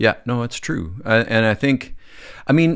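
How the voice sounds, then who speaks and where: A man speaks with a western Canadian accent. The background is quiet. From Canadian Prairies (Calgary, Alberta); Alberta. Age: 50s. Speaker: film and TV director; podcast guest. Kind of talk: casual chat. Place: studio. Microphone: studio mic.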